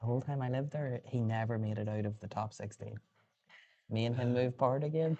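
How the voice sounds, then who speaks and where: A man whispers at a very fast pace. The background is quiet. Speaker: pool commentator. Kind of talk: live commentary. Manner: whispering.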